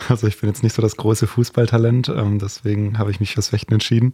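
A man talks at a very fast pace with a fairly low pitch and monotone, flat intonation. His tone is dark, mellow and somewhat breathy. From Heidenheim, Swabia. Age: 30s. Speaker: fencer. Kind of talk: casual chat.

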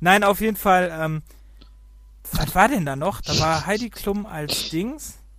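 Very slow delivery with long, frequent pauses and lively intonation. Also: man, high pitch for a man. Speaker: gaming podcast co-host. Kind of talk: casual chat.

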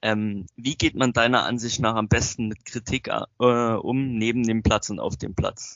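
A man speaks at a fairly slow pace in a plain, everyday voice. His pitch sits in the medium range, with fairly even intonation. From Saxony, near Zwickau. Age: young. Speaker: young football referee. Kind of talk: interview questions.

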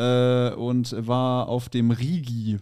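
A medium-pitched man with a dark, mellow tone, on a very clean recording with a silent background. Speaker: comedian. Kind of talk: casual chat.

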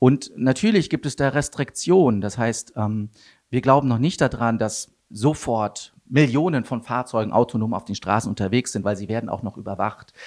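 The pace is moderate, with ordinary pitch variation. The recording is very clean, with a silent background. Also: man, medium pitch for a man. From Germany, Wuppertal area (North Rhine-Westphalia). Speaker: tech startup CEO. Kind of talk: interview. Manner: hesitant, many fillers.

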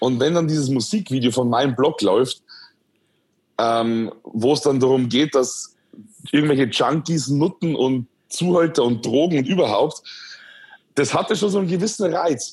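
At a moderate pace, a man with a fairly high voice keeps his loudness very even and leaves long, frequent pauses. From Bavaria, Upper Palatinate (Schwandorf). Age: 20s. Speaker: influencer. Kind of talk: interview, casual chat. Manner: hesitant, many fillers.

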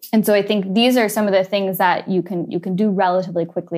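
Music plays behind a woman with a Californian accent who talks at a fairly quick pace, her medium pitch showing ordinary pitch variation. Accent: Californian American. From US, San Francisco. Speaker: advertising agency executive. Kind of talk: interview.

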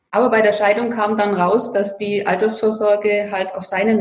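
A woman speaks at a medium pitch with audible room echo. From Bavaria, Allgäu (Füssen). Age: 50s. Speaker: financial coach. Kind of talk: interview. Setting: remote call.

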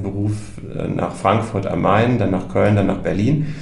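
A man with a fairly low pitch is heard through noticeable background noise and audible room echo. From North Rhine-Westphalia, Germany. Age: 40s. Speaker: journalist, project participant. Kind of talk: casual chat.

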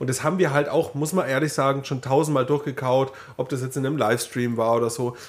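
The speaker is a man with a medium-pitched voice. He talks very fast with fairly even intonation. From Upper Palatinate (Neumarkt). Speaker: podcast co-host. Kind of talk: casual chat.

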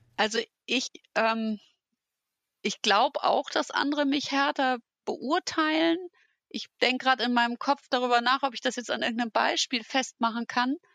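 Speaking at a moderate pace with long, frequent pauses, a woman has a bright, sharp tone and a high pitch with ordinary pitch variation, recorded with a dry, close sound with no echo against a quiet background. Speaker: manager. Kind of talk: casual chat.

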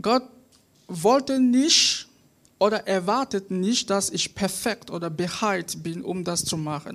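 A woman at medium pitch speaks at a very slow pace with lively intonation and long, frequent pauses. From Cameroon. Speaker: student, lay preacher. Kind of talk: sermon. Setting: church service on stage. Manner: halting.

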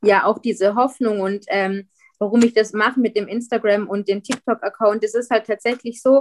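Speaking at a moderate pace, a woman keeps a monotone, flat intonation in a dry, close recording with no echo. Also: fairly high pitch for a woman. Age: 20s. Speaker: guest sharing weight-loss surgery experience. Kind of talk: interview. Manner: halting.

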